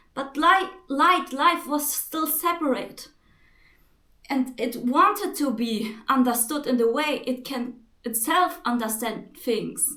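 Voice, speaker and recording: Very slowly, a woman with a non-native accent speaks in a raised, projected voice with a high pitch and a bright, sharp tone. Audible room echo surrounds her. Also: lively intonation. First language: not English. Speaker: spiritual vlogger. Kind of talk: spiritual monologue to camera. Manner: halting.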